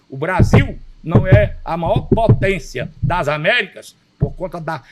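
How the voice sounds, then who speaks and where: Music plays in the background as a man talks at a very slow pace. His pitch is fairly high. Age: 70s. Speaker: state politician and physician. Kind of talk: interview. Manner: formal; emphatic.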